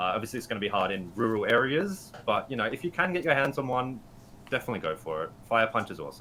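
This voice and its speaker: A man with an Australian accent talks at a very fast pace. His medium-pitched voice has very wide pitch swings. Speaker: Pokemon GO writer and editor. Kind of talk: podcast interview.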